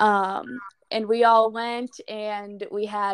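A woman with an American accent and a fairly high voice, recorded dry and close with no echo. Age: 20s. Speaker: college runner working full time. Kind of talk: interview.

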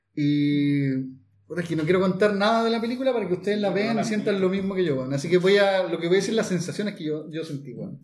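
A high-voiced man talks very fast with ordinary pitch variation. Background noise is noticeable and there is audible room echo. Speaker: podcast host. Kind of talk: casual chat. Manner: animated.

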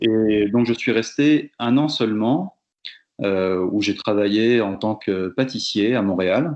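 Speaking at a very slow pace, a man keeps his loudness very even, with a medium pitch and ordinary pitch variation. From Brittany, France (Fougères). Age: 30s. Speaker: teacher and volunteer radio host. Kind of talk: interview testimony. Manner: halting, many fillers and repetitions.

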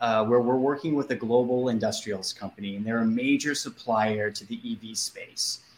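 Against noticeable background noise, a man with an American accent talks at medium pitch with ordinary pitch variation. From US Northeast, Boston. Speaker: communications agency executive. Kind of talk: interview.

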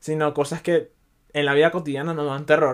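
A man speaks with a Venezuelan accent. His pitch is fairly high. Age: 20s. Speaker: podcaster. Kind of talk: casual monologue.

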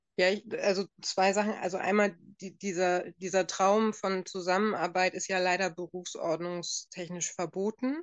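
A woman's medium-pitched voice, flat and monotone, at a moderate pace. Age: 40s. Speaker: physician. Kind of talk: expert interview. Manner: halting, many fillers.

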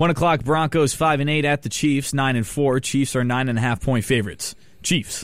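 A man speaks in a plain, everyday voice, fairly high in pitch and at a fairly quick pace. His loudness is very even, and his pitch varies in an ordinary way. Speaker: college radio host. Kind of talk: sports talk radio. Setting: studio.

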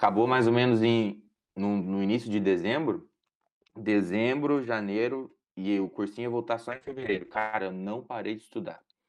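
A man talks in a normal speaking voice at medium pitch. His pace is moderate and his pitch variation ordinary. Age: 20s. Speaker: medical student. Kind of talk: casual interview.

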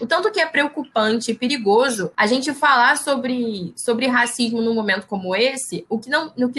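A woman talks in a high pitch with ordinary pitch variation. She leaves hardly any pauses. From Brazil, Baixada Fluminense, Rio de Janeiro. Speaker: biologist and researcher. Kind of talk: interview.

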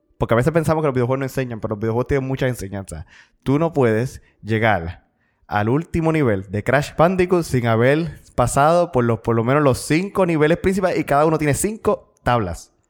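A man with a normal speaking voice talks at medium pitch and a fairly quick pace. His intonation is lively, and the recording is very clean with a silent background. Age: 20s. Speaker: podcast co-host and seminarian. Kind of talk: casual chat.

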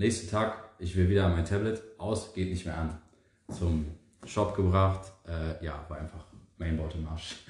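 The man's very deep, low voice is somewhat breathy, moving at a fairly slow pace with fairly even intonation and long, frequent pauses. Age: 20s. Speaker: podcast co-host, power plant trainee. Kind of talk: casual chat.

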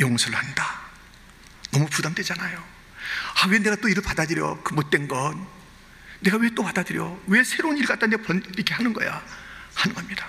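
The speaker uses lively intonation with long, frequent pauses. Noticeable background noise runs underneath. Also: man, high pitch for a man. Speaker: pastor. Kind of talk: sermon. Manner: animated.

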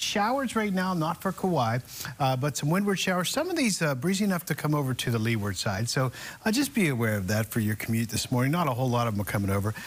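A man speaks at a very fast pace in a fairly high, somewhat breathy voice. His pitch swings very widely while his loudness stays very even. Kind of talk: morning weather forecast. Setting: studio. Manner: casual, conversational.

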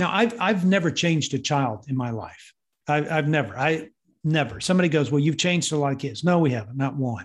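Against a quiet background, a man with a Texan accent speaks at a fairly quick pace in a fairly high, somewhat breathy voice with lively intonation. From Texas. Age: 60s. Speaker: parenting ministry leader. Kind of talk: interview. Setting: video call.

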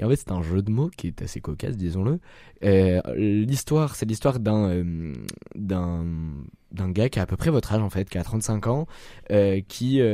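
A man speaks fairly slowly at a fairly low pitch, his dark, mellow tone carrying lively intonation and long, frequent pauses, in a very clean recording with a silent background. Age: young. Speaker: film podcast panelist, sound technician. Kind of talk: casual panel chat.

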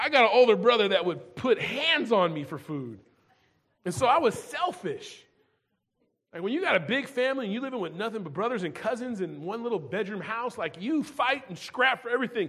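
Pitched extremely high, a man talks fairly quickly, his voice swinging very widely in pitch and jumping sharply in loudness. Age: 40s. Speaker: pastor. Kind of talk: sermon.

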